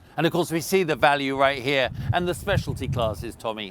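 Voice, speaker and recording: A man with a British accent, fairly high pitch and a fairly quick pace. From Britain. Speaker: event livestream commentator. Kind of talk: live commentary.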